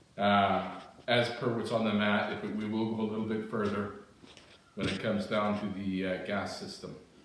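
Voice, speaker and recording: The recording has noticeable background noise and audible room echo. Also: man. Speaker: retired army armorer, living history instructor. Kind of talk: tutorial; spoken self-introduction. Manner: casual, with frequent fillers.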